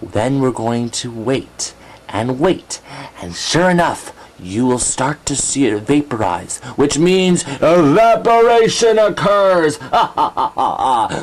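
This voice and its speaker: A man does a cartoonish character voice at a fairly slow pace. His pitch is fairly high and swings very widely. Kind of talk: educational puppet segment. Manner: excitable, giggly.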